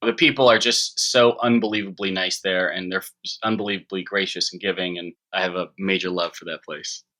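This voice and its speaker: Speaking at a fairly quick pace with hardly any pauses, a man with an American accent swings widely in loudness. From US Midwest (Chicago, Illinois). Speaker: filmmaker. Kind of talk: interview. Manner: halting.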